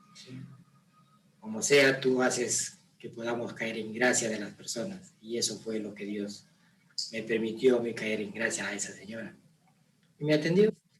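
Speaking at a fairly slow pace in a calm tone, a man with a medium pitch uses ordinary pitch variation, big swings in loudness and long, frequent pauses. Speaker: father of the host. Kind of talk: casual chat. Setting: on camera.

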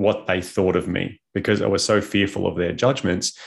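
This man has a plain, everyday voice, fairly low in pitch with fairly even intonation. The background is quiet. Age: 30s. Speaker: conscious parenting coach. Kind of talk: casual interview.

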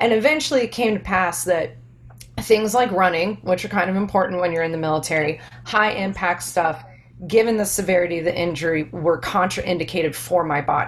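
Over noticeable background noise, a woman with an American accent talks at a fairly quick pace, her fairly low voice full of lively intonation. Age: young. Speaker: army veteran, fitness business owner. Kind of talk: casual interview chat. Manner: animated.

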